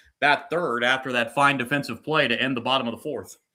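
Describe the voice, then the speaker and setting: Loud and bright with a sharp edge, a man's fairly high voice holds fairly even intonation in a very clean recording with a silent background. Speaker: sports livestreamer doing play-by-play. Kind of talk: live commentary. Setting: livestream from computer with live chat. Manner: loud, voice carries.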